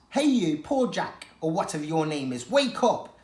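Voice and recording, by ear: This is a put-on character voice, gravelly and middle in pitch with very wide pitch swings. It moves at a moderate pace with a slight echo.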